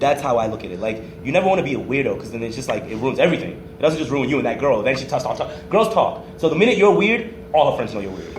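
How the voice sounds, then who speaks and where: A loud man's voice, fairly high in pitch with very wide pitch swings and a very fast pace, amid noticeable background noise and audible room echo. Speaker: podcast host. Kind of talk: casual chat.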